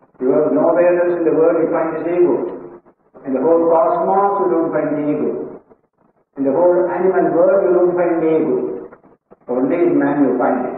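A man with a high-pitched voice speaks at a moderate pace with fairly even intonation, his words carrying strong room echo over light background noise. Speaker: monk teacher. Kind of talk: lecture. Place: hall.

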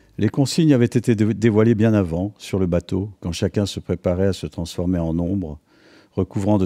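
The delivery comes at a fairly quick pace with a dark, mellow tone. The sound is dry and close with no echo, a very clean recording with a silent background. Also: man. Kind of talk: literary audiobook reading of a tense military thriller, narrated in past tense.

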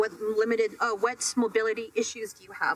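A woman speaks with lively intonation over light background noise. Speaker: fitness trainer. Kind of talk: interview answer. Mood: animated, playful, laughing. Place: studio.

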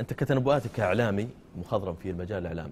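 A man speaks with a dark, mellow tone and lively intonation. There is light background noise. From Saudi Arabia. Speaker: TV sports show host. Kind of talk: press review and discussion. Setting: studio. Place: studio. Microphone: lapel.

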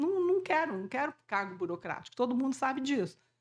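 Against a quiet background, a woman speaks at a fairly quick pace. Her voice is high, with very wide pitch swings. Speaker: scientist. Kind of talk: panel talk. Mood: humorous, self-deprecating storytelling. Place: hall. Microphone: camera far.

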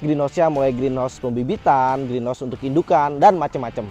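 The delivery moves at a fairly quick pace. Faint music sits in the background of a dry recording with no echo. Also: man. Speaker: cactus channel host. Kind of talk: casual vlog chat. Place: street. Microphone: lapel.

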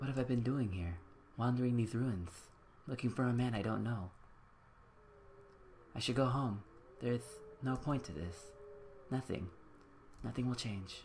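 A strained, put-on character voice from a man at medium pitch, moderate pace, ordinary pitch variation and long, frequent pauses, with clear background noise. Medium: game stream. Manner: pleading, strained.

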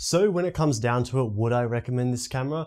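A man's dark, mellow tone with ordinary pitch variation against a quiet background. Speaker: tech reviewer. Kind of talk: product review talk to camera. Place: home room. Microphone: lapel.

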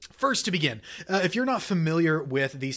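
The speaker talks at a fairly quick pace. The background is quiet. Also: man. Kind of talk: educational talking-head commentary. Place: home room. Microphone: studio mic.

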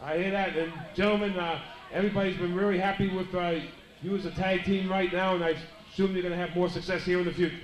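A man talks very fast at a high pitch in monotone, flat intonation. Audible room echo and light background noise are present. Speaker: wrestling show interviewer. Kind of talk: interview questions, announcer style. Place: hall. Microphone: handheld.

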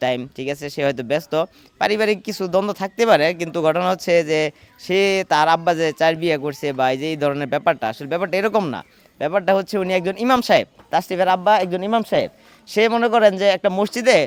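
A man speaks with lively intonation. His pitch is high. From rural Bangladesh, the preacher's home area. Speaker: local resident, interviewee. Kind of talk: on-location interview.

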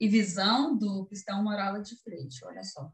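With a strong Russian accent, a woman talks at a moderate pace, with audible room echo and a quiet background. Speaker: YouTuber. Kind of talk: interview answer. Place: home room. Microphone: video call.

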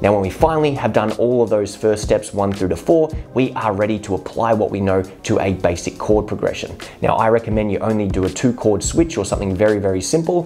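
A man at a fairly low pitch, talking at a very fast pace, with faint music in the background. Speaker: guitar teacher. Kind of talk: tutorial. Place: home room. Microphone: lapel.

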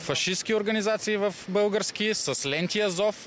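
A man talks over light background noise. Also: dry sound with no echo. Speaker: municipal councillor. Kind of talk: heated debate. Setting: outdoors. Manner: animated. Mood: indignant, accusatory. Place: street. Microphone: handheld.

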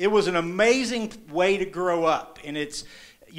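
Against a quiet background, a man with an Appalachian accent projects a raised, high-pitched voice at a fairly slow pace with ordinary pitch variation. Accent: Appalachian American. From eastern Kentucky and southern Ohio. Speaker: journalist. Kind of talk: live storytelling performance. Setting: live stage, audience. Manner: casual, conversational. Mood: warm, humorous, reflective. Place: stage. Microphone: handheld.

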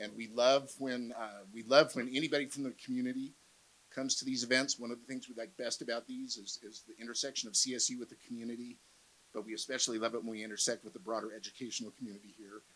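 Over light background noise, a man talks at a very fast pace in a monotone, flat intonation. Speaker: panel moderator. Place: hall. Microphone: handheld.

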